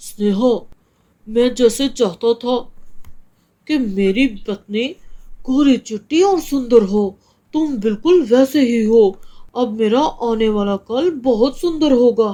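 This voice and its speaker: A woman puts on a cartoonish character voice at a fairly high pitch. She speaks at a very slow pace with lively intonation. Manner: self-centred.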